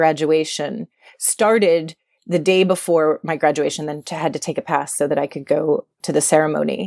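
An American accent marks a woman's plain, everyday voice, fairly low in pitch with fairly even intonation, at a moderate pace in a dry, close sound with no echo. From US East Coast, suburbs of Philadelphia. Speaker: media entrepreneur and former magazine editor. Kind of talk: casual interview.

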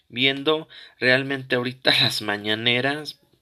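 This man talks at a fairly slow pace, his intonation fairly even. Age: 20s. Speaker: political commentary podcaster. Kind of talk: opinion monologue. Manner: halting, many fillers and repetitions.

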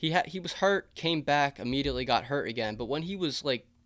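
A plain, everyday voice from a man, with ordinary pitch variation and a moderate pace, on a very clean recording with a silent background. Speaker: baseball podcaster. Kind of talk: solo podcast monologue, sports preview.

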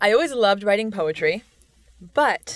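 Recorded very cleanly against a silent background, an unremarkable speaking voice moves at a moderate pace. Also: woman. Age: 20s. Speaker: author and poet. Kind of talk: casual interview.

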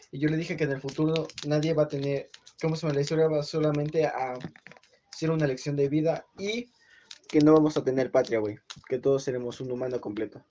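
A man talks at a fairly quick pace in a Mexican accent. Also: ordinary pitch variation. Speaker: podcast host. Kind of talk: casual chat.

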